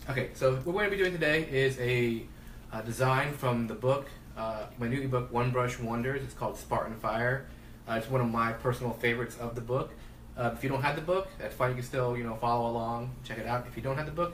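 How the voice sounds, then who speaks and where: Very fast speech from a man of medium pitch, with audible room echo and noticeable background noise. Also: ordinary pitch variation. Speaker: face painting artist. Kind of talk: live tutorial. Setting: home livestream. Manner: soft-spoken.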